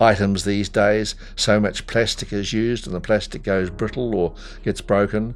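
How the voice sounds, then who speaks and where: The man's fairly low voice keeps a monotone, flat intonation at a moderate pace. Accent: New Zealand. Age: 80s+. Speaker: retired telephone technician, electronics recycler. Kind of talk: interview monologue. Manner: halting, many fillers.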